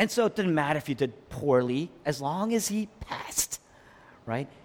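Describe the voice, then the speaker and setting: A man's voice with very wide pitch swings. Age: 40s. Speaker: pastor. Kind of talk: sermon.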